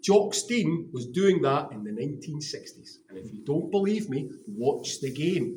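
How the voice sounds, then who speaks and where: A man's high-pitched voice with a Glaswegian accent, animated and enthusiastic, with lively intonation, a fairly slow pace and audible room echo. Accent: Glaswegian Scottish. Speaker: stadium tour guide. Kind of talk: guided tour talk to visitors. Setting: museum with tour group. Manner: animated, enthusiastic; briefly whispering.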